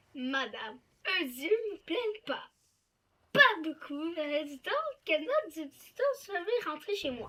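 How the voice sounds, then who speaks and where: In a cartoonish character voice with a high pitch, the speaker moves at a fairly slow pace, broken by long, frequent pauses. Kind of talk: fan dub of cartoon scenes.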